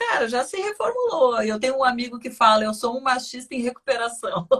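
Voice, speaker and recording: An animated tone paired with lively intonation. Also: woman. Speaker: radio host. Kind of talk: interview. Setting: studio.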